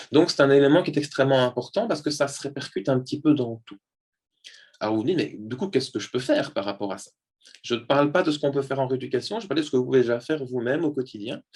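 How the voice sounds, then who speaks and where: A man's fairly high voice at a very fast pace, with ordinary pitch variation and big swings in loudness. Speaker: neuropsychologist giving a talk. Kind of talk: lecture. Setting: video call.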